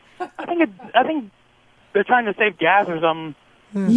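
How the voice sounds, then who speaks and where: Noticeable background noise sits behind a man talking at a moderate pace. His high voice moves through very wide pitch swings. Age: 20s. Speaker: radio show caller. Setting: phone.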